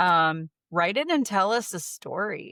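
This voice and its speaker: Lively intonation marks this woman's fairly low-pitched voice with a bright, sharp tone. The sound is dry and close, with no echo. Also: very clean recording, silent background. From Ohio. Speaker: podcast co-host. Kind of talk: casual chat.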